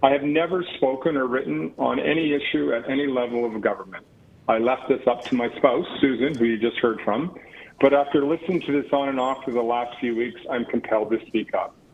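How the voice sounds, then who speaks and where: A man talks at a fairly quick pace with a Western Canadian accent. His pitch is medium, with ordinary variation. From Canada, Calgary. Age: 60s. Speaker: member of the public at a council hearing. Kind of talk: public hearing statement.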